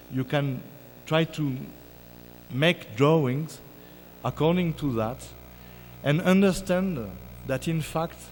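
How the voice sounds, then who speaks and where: With a French accent, a man speaks very slowly at a fairly high pitch. His pitch variation is ordinary, and long, frequent pauses break up his speech. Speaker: keynote speaker, music scholar. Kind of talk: academic lecture. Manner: halting, many fillers.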